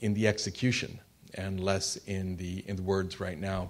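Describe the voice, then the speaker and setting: Fairly low-pitched male voice, an unremarkable speaking voice, moderate in pace. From Canada. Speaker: former diplomat, institute president. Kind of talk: panel discussion talk.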